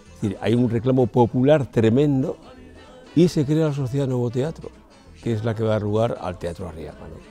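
Over faint music in the background, a man speaks with ordinary pitch variation in a dry sound with no echo. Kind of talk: interview answer. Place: hall.

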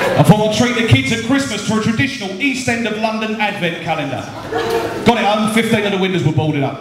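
A man talks at a very fast pace. Both noticeable background noise and audible room echo come through. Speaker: stand-up comedian and after dinner speaker. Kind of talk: live stand-up comedy to an audience with crowd banter. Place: hall. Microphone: handheld.

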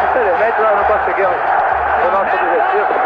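A man talks at a fairly quick pace. Loud background noise sits behind him. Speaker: football goalkeeper. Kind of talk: post-match interview answer. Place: stadium. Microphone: handheld.

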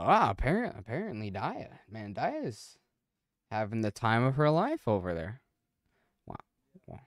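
At a fairly slow pace and with long, frequent pauses, a man of medium pitch speaks with very wide pitch swings, the sound dry and close with no echo on a very clean recording with a silent background.

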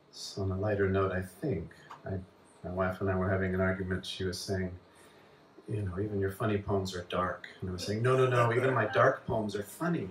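Talking at a fairly quick pace with an American accent, a man keeps a fairly low pitch and fairly even intonation over noticeable background noise. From US Southwest. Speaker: poet. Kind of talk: poetry reading. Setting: bar with live audience. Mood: calm, measured delivery. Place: bar.

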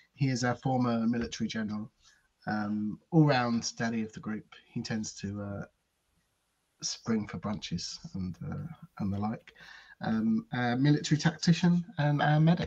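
Against a quiet background, a man speaks at a fairly slow pace with lively intonation and long, frequent pauses. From United Kingdom. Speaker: tabletop role-playing game player, co-host. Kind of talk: live-streamed tabletop role-playing session, casual banter. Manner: enthusiastic. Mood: light-hearted, amused. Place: home room.

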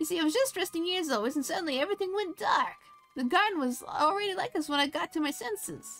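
Someone talks at a very fast pace in a put-on character voice, with faint music in the background. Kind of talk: comic overacting. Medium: game stream. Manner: fretful, sing-song rhymes.

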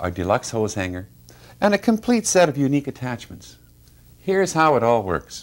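A man talks at a fairly quick pace. His pitch swings very widely. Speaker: company founder presenting product. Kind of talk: TV infomercial product pitch. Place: studio. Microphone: lapel.

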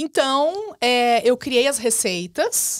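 Very wide pitch swings from a woman, with a quiet background. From southern Brazil. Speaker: business mentor and digital entrepreneur; podcast guest. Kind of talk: podcast interview. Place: studio. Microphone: studio mic.

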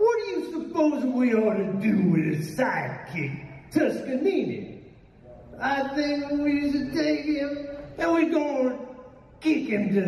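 Someone speaks at a fairly slow pace with audible room echo and light background noise. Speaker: voice actor panelist. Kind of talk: panel talk with character voice performance. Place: hall.

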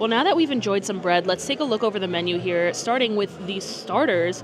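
A woman speaks at a very fast pace. Background noise is noticeable. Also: dry sound with no echo. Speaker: food vlogger. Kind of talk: casual vlog chat. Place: cafe. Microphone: lapel.

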